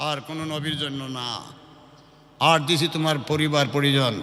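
Over noticeable background noise and audible room echo, a man talks at a fairly high pitch. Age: 70s. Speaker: Islamic preacher. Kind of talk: sermon. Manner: animated.

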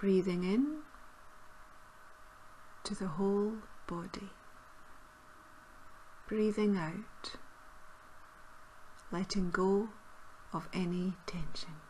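Noticeable background noise sits behind a woman talking at a very slow pace with long, frequent pauses. Her pitch is medium, with ordinary variation. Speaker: meditation guide. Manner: slow, soft-spoken.

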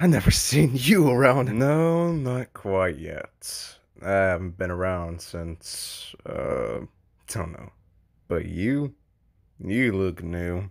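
A put-on character voice with vocal fry and a slightly mellow tone, slow and lively in intonation, on a very clean recording with a silent background. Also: man, low pitch for a man.

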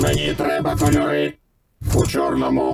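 Adopting a put-on character voice, a man pushes his pitch very deep and low. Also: moderate pace. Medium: fan dub. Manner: terse, broken short phrases.

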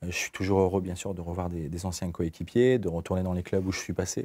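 At a fairly quick pace, a man speaks with a very deep, low pitch, a dark, mellow tone and fairly even intonation. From northern France, Lille. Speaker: football club general manager, former pro player. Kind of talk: TV studio interview. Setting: TV studio. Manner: halting.

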